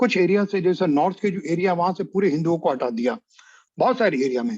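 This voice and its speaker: The man's speech shows ordinary pitch variation. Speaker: history professor. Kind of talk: lecture. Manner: halting, with filler sounds; mixes Hindi with English.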